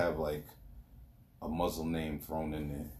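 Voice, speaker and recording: In a New York accent, a man with a very deep, low voice speaks at a moderate pace, his tone dark and mellow and somewhat breathy. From New York, Queens and Long Island. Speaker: podcast guest. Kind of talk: casual chat. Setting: in person.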